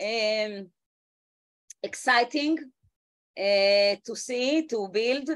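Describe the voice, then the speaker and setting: A woman with an Israeli accent speaks at a very slow pace, leaving long, frequent pauses. Her voice is fairly high, with ordinary pitch variation. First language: Hebrew. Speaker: education ministry official. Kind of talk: meeting remarks. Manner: halting, many fillers.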